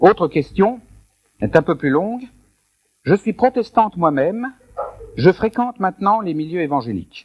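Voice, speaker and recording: A man's voice with very wide pitch swings at a moderate pace, in a dry, close sound with no echo. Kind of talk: question-and-answer session at a conference.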